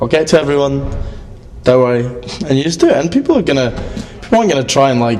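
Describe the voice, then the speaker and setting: Noticeable background noise accompanies a man with a fairly high pitch and ordinary pitch variation. He talks at a very fast pace, broken by long, frequent pauses. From Scotland, Edinburgh. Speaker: band musician. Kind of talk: casual interview. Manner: animated.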